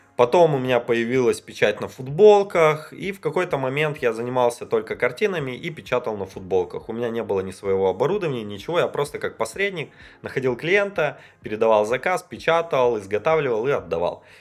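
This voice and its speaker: A man's fairly high-pitched voice at a fairly quick pace, with very wide pitch swings. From Russia, Perm region. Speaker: info-business producer. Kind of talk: casual chat. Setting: studio.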